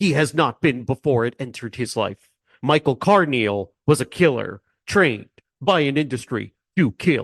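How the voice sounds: The speaker uses a natural reading voice while everything behind it stays quiet.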